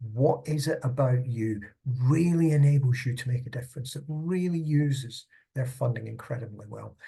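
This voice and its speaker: A man with a Scottish accent talks at a moderate pace in a somewhat breathy, dark, mellow tone at medium pitch. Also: ordinary pitch variation. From Scotland. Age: old. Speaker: charity consultant. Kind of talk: tutorial. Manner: conversational.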